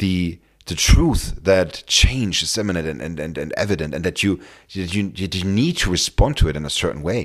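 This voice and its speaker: With a German accent, a man with a very deep, low pitch speaks with lively intonation. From Germany. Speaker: career coach and podcast host. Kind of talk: solo podcast monologue. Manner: halting, many fillers and repetitions.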